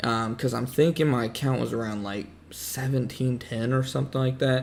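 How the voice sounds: With vocal fry and fairly even intonation, a man speaks at a medium pitch. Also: moderate pace.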